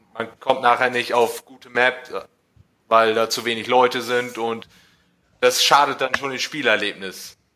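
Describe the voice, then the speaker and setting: Fairly slow and flat in a monotone, a man speaks in a bright, sharp tone with big swings in loudness. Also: medium pitch for a man. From northern Germany, East Frisia. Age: 20s. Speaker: listener guest, gaming fan. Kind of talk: casual chat.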